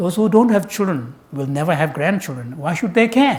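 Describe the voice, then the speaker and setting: In a Tibetan accent, a man talks at a moderate pace in a high pitch with lively intonation, and there is audible room echo. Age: 60s. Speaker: Buddhist scholar and translator. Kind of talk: public talk. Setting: lecture hall with audience.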